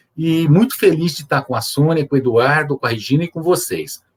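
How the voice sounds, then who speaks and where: In a dry, close recording with no echo, a somewhat breathy man speaks at a moderate pace with ordinary pitch variation. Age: 60s. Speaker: judge and wheelchair user guest. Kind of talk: interview on accessibility. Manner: hesitant, many filler 'é'.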